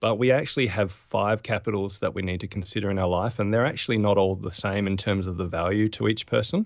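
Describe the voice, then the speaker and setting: This man talks at a very fast pace with an Australian accent. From Australia, Adelaide. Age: 40s. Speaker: productivity expert and former physiotherapist. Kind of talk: podcast interview.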